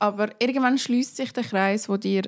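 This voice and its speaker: A woman with a normal speaking voice, medium pitch and fairly even intonation at a moderate pace, recorded very cleanly over a silent background. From Zurich, Switzerland (Seebach). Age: 20s. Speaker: podcast guest. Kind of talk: casual chat.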